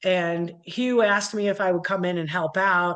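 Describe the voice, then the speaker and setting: The speaker is a woman. She talks with a slight Midwestern accent. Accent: slight Midwest (Cleveland). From US Midwest, Cleveland, Ohio. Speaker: metal musician, keyboardist. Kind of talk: interview. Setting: video call.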